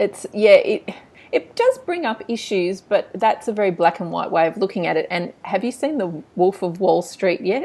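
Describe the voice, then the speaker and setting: There is noticeable background noise as a woman talks with an Australian accent. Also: moderate pace. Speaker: book blog interviewer. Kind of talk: interview. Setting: video call.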